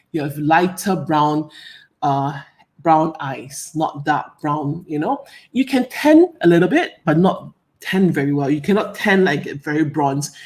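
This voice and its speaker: In a Singaporean accent, a woman speaks with a very deep, low pitch. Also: ordinary pitch variation, fairly slow pace. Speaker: hair care expert. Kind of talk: live Q&A presentation. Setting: live stream. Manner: animated.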